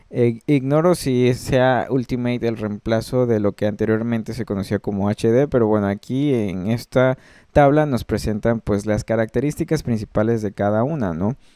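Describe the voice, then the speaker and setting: Against a quiet background, a man with a Mexican accent speaks at a moderate pace in a medium pitch with a dark, mellow tone, ordinary pitch variation and hardly any pauses, in a dry, close sound with no echo. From Mexico. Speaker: music production tutor. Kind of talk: screen-recorded tutorial. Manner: hesitant, many fillers.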